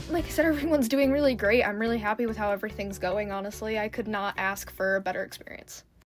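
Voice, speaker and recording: A woman at a fairly high pitch talking at a very fast pace with hardly any pauses and ordinary pitch variation, over music in the background. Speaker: vlogger, horse barn worker and fish keeper. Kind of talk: casual vlog narration.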